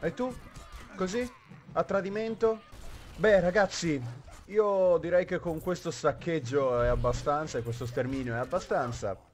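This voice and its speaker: The man's voice is high, with lively intonation. He talks at a fairly slow pace, with long, frequent pauses. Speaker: gaming YouTuber. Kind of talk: gameplay commentary. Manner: animated.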